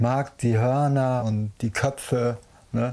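The recording is very clean, with a silent background. A man with a dark, mellow tone and medium pitch speaks at a very slow pace with ordinary pitch variation. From Hamburg, northern Germany. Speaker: cook and sheep breeder. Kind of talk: casual documentary talk.

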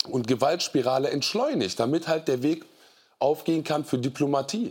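At a moderate pace, a man with an ordinary speaking voice talks at a fairly high pitch with ordinary pitch variation on a very clean recording with a silent background. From Germany, Siegburg area. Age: 30s. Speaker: podcaster and poetry slammer. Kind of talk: talk show discussion. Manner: casual, colloquial.

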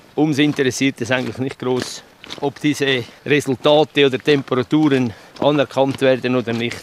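A man with a Swiss accent speaks at medium pitch and a moderate pace in monotone, flat intonation. The sound is dry and close with no echo, though noticeable background noise is present. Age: 60s. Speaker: weather station keeper. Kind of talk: on-location interview.

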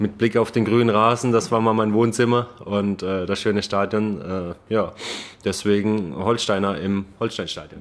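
A man speaks with a slight Baden-Württemberg accent at a fairly low pitch, keeping a fairly slow pace, fairly even intonation and very even loudness. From Baden-Württemberg, Germany. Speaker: professional football goalkeeper. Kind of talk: casual interview. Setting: stadium lounge.

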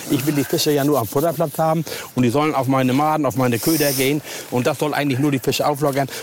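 A man's fairly high voice at a very fast pace, with very even loudness, fairly even intonation and noticeable background noise. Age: old. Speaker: angling expert. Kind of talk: tutorial. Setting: outdoors.

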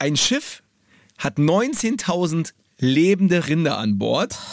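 A man talks in a fairly high voice. His pitch swings very widely. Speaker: radio host. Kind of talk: casual chat.

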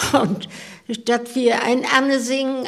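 A woman talks at a very slow pace. Background noise is noticeable throughout. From Rostock area, Mecklenburg. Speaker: club member. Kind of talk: casual chat.

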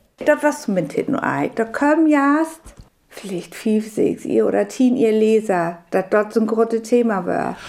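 In a normal speaking voice, a woman speaks fairly slowly with a fairly high pitch and lively intonation. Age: 60s. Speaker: biologist and former teacher. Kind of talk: radio interview in Frisian.

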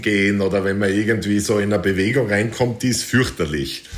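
Amid audible room echo and noticeable background noise, a man with an Austrian accent speaks at a moderate pace and a medium pitch. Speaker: adventure hiker and author. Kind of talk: interview.

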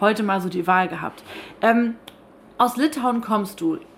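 Lively intonation from a woman at a fairly slow pace, with noticeable background noise. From northern Germany, Schleswig-Holstein (Stormarn). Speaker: radio podcast host. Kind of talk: casual interview over lunch. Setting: broadcaster's canteen.

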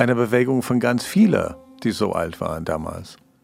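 This man's voice sits at a medium pitch. He talks at a moderate speed. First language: not German (speaking German). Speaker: investigative journalist, co-host. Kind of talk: conversational documentary podcast.

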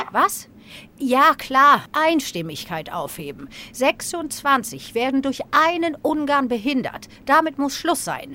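Raised and projected, a woman's high-pitched voice has a bright, sharp tone, lively intonation and a very slow pace. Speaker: comedian doing political impressions. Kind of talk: satirical sketch.

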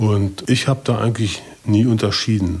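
A man with a dark, mellow tone speaks at a fairly slow pace in a monotone, flat intonation. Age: 50s. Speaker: recovering addict. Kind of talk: testimony.

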